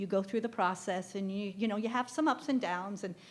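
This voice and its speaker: A woman with a plain, everyday voice speaks in an American accent at a medium pitch. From US Midwest (Nebraska). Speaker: living kidney donor. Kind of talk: group discussion.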